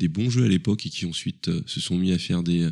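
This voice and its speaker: A man's very deep, low voice at a fairly quick pace, in a very clean recording with a silent background. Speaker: video game podcast team member. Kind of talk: casual chat.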